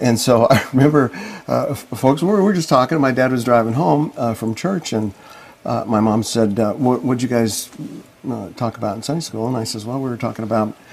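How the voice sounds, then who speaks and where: With an American accent, a man speaks at a moderate pace and medium pitch, with ordinary pitch variation. Noticeable background noise runs under his voice. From Colorado, Boulder. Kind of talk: interview testimony. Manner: halting.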